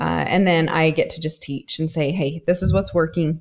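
A woman speaks in an ordinary speaking voice with ordinary pitch variation. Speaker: e-commerce coach. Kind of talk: casual interview chat.

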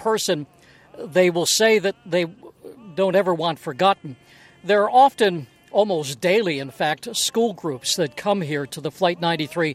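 A man speaks at a high pitch and moderate pace with lively intonation. The sound is dry and close with no echo, and music plays in the background. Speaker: news reporter. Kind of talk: live news report. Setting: outdoors at the crash site.

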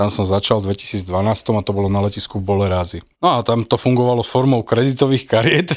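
Speaking in an unremarkable speaking voice, a man uses lively intonation at a moderate pace in a very clean recording with a silent background. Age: 40s. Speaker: airline pilot. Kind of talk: casual chat.

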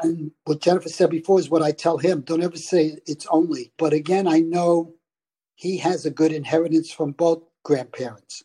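With a Brooklyn accent, a man with a high pitch and a dark, mellow tone talks at a moderate pace with ordinary pitch variation, the sound dry and close with no echo. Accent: Brooklyn New York. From New York. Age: 70s. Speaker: retired father sharing money habits. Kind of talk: casual chat.

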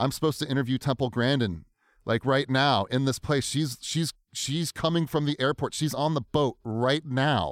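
A man's plain, everyday voice at medium pitch, in a very clean, dry, close recording with a silent background and no echo. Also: ordinary pitch variation, moderate pace. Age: 30s. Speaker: podcaster. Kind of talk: casual interview chat. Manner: conversational, filler-heavy.

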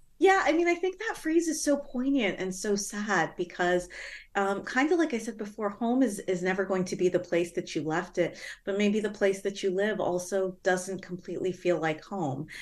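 Recorded very cleanly against a silent background, a woman with an ordinary speaking voice talks at a moderate pace and medium pitch with lively intonation. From Toronto area, Canada. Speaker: author and professor. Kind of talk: interview.

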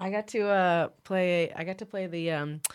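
A woman speaks at a moderate pace with a West Coast accent and ordinary pitch variation. The recording is very clean, with a silent background. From northern California. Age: 30s. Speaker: mixed martial arts fighter. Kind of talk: casual chat.

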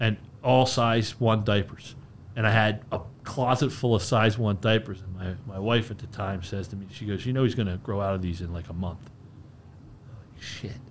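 This man has an American accent and a fairly low, somewhat breathy voice. He goes at a moderate pace with ordinary pitch variation. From US Northeast, Bucks County, Pennsylvania. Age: 40s. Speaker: beverage company representative. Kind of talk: casual interview chat. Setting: studio.

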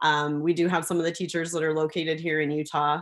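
Over a quiet background, a woman with a Wisconsin accent talks at a fairly quick pace. Her very deep, low voice stays flat and monotone. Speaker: school co-founder. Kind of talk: interview.

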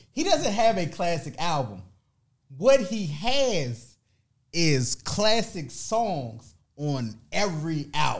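A man with a high voice speaks at a very slow pace, his pitch swinging very widely. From Washington, D.C. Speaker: MC. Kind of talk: casual chat.

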